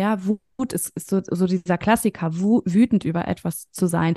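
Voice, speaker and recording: This voice has a dark, mellow tone and ordinary pitch variation, recorded with a dry, close sound and no echo. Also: woman. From northern Germany, near Hamburg. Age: 30s. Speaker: coach for mothers. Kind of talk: interview conversation.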